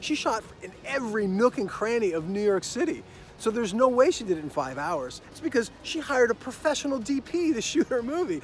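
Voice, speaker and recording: A man talks at a fairly quick pace with very wide pitch swings and big swings in loudness. The sound is dry with no echo, over light background noise. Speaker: screenwriting coach. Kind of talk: casual promotional story. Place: open country. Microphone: phone near.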